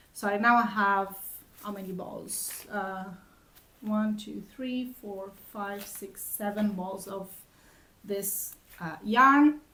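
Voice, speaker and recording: A woman at medium pitch talks at a very slow pace with a bright, sharp tone and fairly even intonation, leaving long, frequent pauses, her loudness swinging widely amid audible room echo. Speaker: knitting vlogger. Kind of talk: casual chat. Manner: halting.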